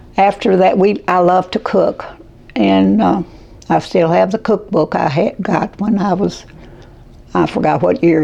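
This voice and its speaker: Noticeable noise sits in the background. A woman speaks fairly slowly. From Kentucky. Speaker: caregiver. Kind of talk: interview answer.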